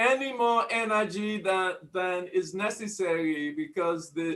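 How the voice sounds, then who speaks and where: A loud man's voice, high-pitched, with ordinary pitch variation. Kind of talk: casual discussion. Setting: video call. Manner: energetic. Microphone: laptop.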